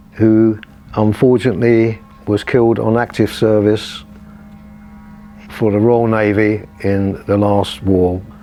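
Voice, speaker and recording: A man's fairly low, monotone, flat voice at a fairly slow pace and very even loudness, with long, frequent pauses and noticeable background noise. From London, Shoreditch (East End). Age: 80s+. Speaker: long-time resident. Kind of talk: interview testimony.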